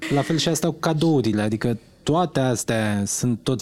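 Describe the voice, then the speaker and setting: At a moderate pace, a man with a normal speaking voice talks with ordinary pitch variation. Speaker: podcast co-host. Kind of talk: casual interview.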